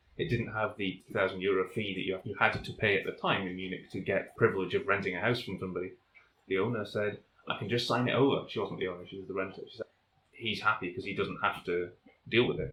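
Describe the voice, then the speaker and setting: Talking at a very fast pace, a man with a Northern English accent keeps a fairly low pitch and fairly even intonation. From North of England. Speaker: volcanologist. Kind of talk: interview answer.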